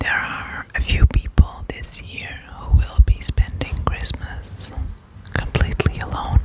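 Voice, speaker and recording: Someone is whispering at a very slow pace. Noticeable background noise can be heard. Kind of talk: ASMR whisper video. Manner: whispered; soft-spoken.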